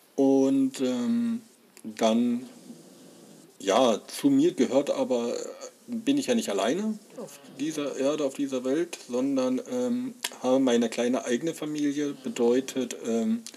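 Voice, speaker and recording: The speech has long, frequent pauses, with noticeable background noise throughout. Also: man, medium pitch for a man. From Saxony, Leipzig. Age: 40s. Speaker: podcaster. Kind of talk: personal monologue. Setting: home. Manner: halting.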